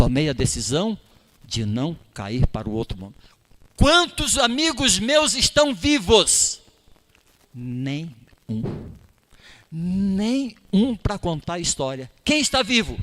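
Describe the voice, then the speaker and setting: A man speaks at a very slow pace with long, frequent pauses and a high pitch. His pitch swings very widely, and his loudness shifts a lot. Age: 60s. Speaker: lay preacher. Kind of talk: sermon. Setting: church.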